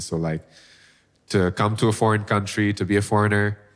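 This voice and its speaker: Moderate-paced speech from a man, in a very clean recording with a silent background. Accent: Bengali. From Bangladesh. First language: Bengali. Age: 20s. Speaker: singer-songwriter. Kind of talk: casual interview chat. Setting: studio.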